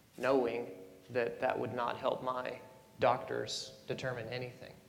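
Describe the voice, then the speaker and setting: Soft-spoken and at a moderate pace, a man talks at a medium pitch, with audible room echo around him. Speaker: panelist, adoptee and birth parent. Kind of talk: panel discussion.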